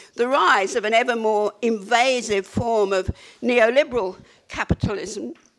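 The speaker is a woman with a fairly high pitch. She has a plain, everyday voice. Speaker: author and academic on panel. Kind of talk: panel talk. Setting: live event with audience.

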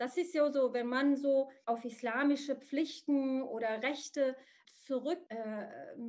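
Here a woman speaks with a high pitch. Her intonation stays fairly even. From Morocco. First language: Arabic (speaking German). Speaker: psychotherapist. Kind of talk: interview. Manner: halting, many fillers.

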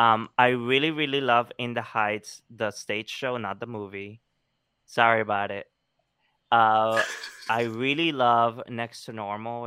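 This man has a medium-pitched voice with a bright, sharp tone and big swings in loudness, at a fairly slow pace. The recording is very clean, with a silent background. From Colombia. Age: 30s. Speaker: actor and theater producer. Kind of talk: interview. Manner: animated.

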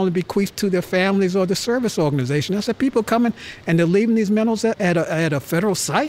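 At a very fast pace, a man speaks with a high pitch. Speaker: museum curator. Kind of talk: casual chat.

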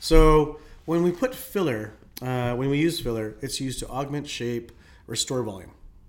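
A man speaks at a moderate pace. It is an ordinary speaking voice. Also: fairly high pitch for a man, ordinary pitch variation. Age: 40s. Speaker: nurse and aesthetics clinic owner. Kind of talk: casual interview chat.

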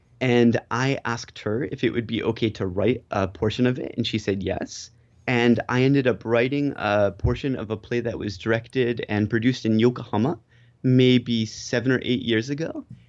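An ordinary speaking voice with an American accent. The pace is moderate and the intonation fairly even. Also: man, medium pitch for a man. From US. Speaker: TV personality in Japan. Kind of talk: casual interview.

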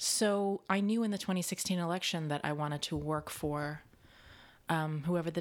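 With an American accent, a woman in a plain, everyday voice speaks at a fairly low pitch and moderate pace, her intonation fairly even, on a very clean recording with a silent background. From US Midwest, Kansas City. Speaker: actor and dialect coach. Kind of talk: casual chat.

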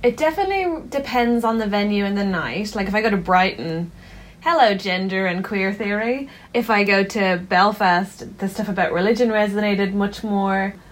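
In an Irish accent, a woman speaks at a moderate pace with a medium pitch and ordinary pitch variation. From Ireland. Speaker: stand-up comedian. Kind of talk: interview.

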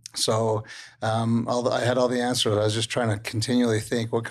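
Against a quiet background, a fairly low-pitched man with an American accent speaks in a monotone, flat way. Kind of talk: testimony.

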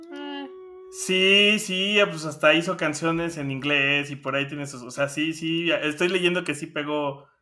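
A man's fairly high voice at a fairly slow pace, ordinary pitch variation, big jumps in loudness, and music playing behind him. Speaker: music podcast co-host. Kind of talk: casual chat.

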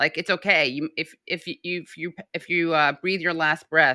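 In a very clean recording with a silent background, a woman's very deep, low voice carries a bright, sharp tone and fairly even intonation. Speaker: podcast co-host. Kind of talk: casual chat.

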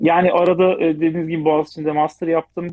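Talking at a fairly quick pace, a man with a fairly high pitch uses an ordinary speaking voice. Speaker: automotive business development director. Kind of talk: interview.

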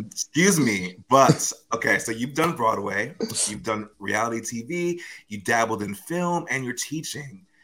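The delivery is fairly slow, with a bright, sharp tone and lively intonation. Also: man, medium pitch for a man. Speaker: podcast host. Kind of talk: interview.

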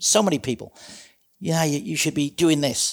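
This man has a fairly high pitch and speaks with a British accent. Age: 60s. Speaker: retired police trainer and community safety advisor. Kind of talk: casual interview.

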